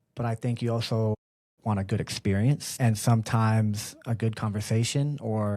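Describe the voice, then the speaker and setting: On a very clean recording with a silent background, a man with an American accent speaks at a moderate pace, his medium-pitched voice dark, mellow and somewhat breathy. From US West Coast, Bay Area, California. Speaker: barber and business owner. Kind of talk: casual interview chat.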